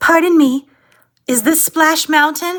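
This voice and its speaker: A put-on character voice, female-sounding and squeaky at an extremely high pitch, comes at a fairly slow pace. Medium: audio drama. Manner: polite, soft-spoken.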